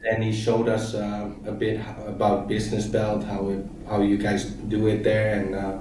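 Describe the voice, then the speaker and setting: A man's fairly low voice in a monotone, flat delivery at a moderate pace, with audible room echo and noticeable background noise. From Thailand (Koh Samui), Dutch family. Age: 30s. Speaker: e-commerce entrepreneur. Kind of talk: interview.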